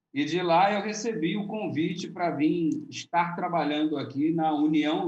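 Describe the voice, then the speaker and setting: The speaker has a Rio de Janeiro accent and talks at a fairly slow pace. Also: man. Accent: carioca. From Rio de Janeiro, Brazil. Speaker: pastor, youth ministry leader. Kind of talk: casual religious podcast chat.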